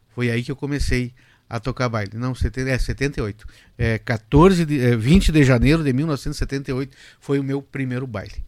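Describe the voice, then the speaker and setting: Over a silent background in a very clean recording, a man speaks fairly slowly at a medium pitch with ordinary pitch variation. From Rio Grande do Sul, Brazil (Cruz Alta). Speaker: accordionist and lawyer. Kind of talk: casual interview. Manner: halting.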